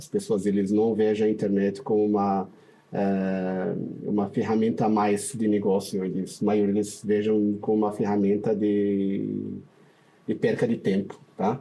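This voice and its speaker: At a fairly slow pace, a man speaks in a fairly low, dark, mellow voice with monotone, flat intonation. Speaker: paid traffic specialist. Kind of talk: podcast interview.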